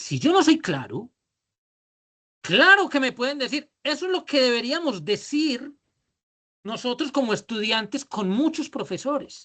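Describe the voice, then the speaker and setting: The speaker has a strong Antioquian accent and leaves long, frequent pauses. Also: fairly slow pace. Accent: paisa (Antioquia Colombian), strong. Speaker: business leadership trainer. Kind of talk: online workshop lecture. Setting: video call. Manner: drawling.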